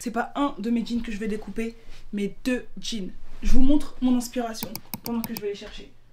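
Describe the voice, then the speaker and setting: A woman's voice with fairly even intonation, noticeable background noise and audible room echo. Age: 20s. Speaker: lifestyle vlogger and student. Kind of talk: casual vlog narration. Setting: on the move in New York.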